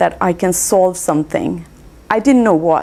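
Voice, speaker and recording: A woman with an Indian accent speaks at a moderate pace. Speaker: scientist, lecturer. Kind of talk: talk to an audience.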